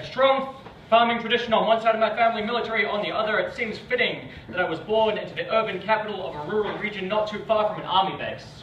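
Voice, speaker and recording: A man with a New Zealand accent speaks very fast in a high pitch, his intonation fairly even. Noticeable background noise and audible room echo fill the recording. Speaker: spoken word poet. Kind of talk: performance poetry. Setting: stage with audience.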